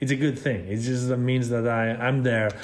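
Through noticeable background noise, a man with a Spanish accent speaks at medium pitch and a moderate pace with fairly even intonation. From Spain. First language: Spanish or Catalan. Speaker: cinematographer. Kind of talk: interview.

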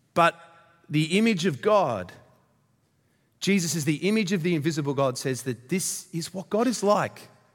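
Using lively intonation, a man with an Australian accent speaks at a high pitch. His pace is moderate, with long, frequent pauses. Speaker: visiting pastor from a church plant. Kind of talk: sermon. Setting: church.

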